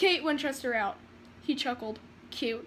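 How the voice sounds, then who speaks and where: A woman in a raised, projected voice talks at a fairly quick pace with lively intonation and a bright, sharp tone, with light background noise. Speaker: vlogger reading fan fiction. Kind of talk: dramatic story reading. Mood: playful, acts out lines. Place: home room. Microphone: phone near.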